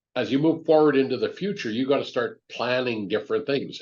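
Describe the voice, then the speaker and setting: An ordinary speaking voice from a man, medium in pitch, fairly quick in pace, with ordinary pitch variation. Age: 60s. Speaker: business owner and mentor. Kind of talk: podcast interview.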